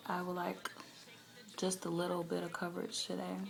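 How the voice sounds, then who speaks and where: Moderate-paced speech from a woman, with audible room echo. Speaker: beauty vlogger. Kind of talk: tutorial. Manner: casual, hesitant with fillers.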